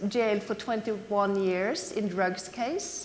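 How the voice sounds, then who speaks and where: Speaking fairly slowly, a woman has a Norwegian accent and ordinary pitch variation. Audible room echo fills the recording. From Norway. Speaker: anti-corruption NGO representative. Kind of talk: conference talk. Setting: conference stage with audience. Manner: halting, many fillers.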